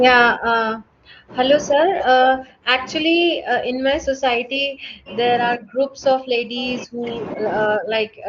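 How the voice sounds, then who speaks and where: Noticeable background noise behind a woman's fairly slow delivery. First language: Hindi. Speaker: student in a language class. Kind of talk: casual chat.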